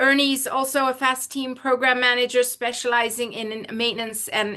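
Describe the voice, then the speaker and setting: Against a quiet background, a woman projects a raised, high-pitched voice with a bright, sharp tone. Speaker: law professor and pilot presenting webinar. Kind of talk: webinar presentation.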